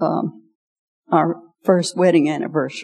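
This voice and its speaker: A woman talks at a moderate pace in a dark, mellow tone, her fairly low voice carrying vocal fry and ordinary pitch variation. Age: 80s. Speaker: pastor's wife, seasoned teacher. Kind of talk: testimony and talk to women. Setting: church.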